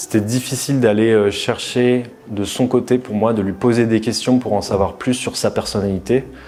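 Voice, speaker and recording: Against noticeable background noise, a medium-pitched man speaks at a moderate pace with fairly even intonation. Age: 20s. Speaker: dating show contestant. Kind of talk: interview confessional.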